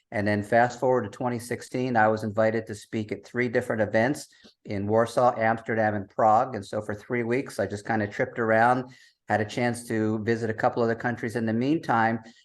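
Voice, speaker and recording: A man with an American accent and a medium-pitched voice talks at a fairly quick pace in a monotone, flat intonation against a quiet background. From US. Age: 60s. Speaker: travel writer, digital nomad. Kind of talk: podcast interview.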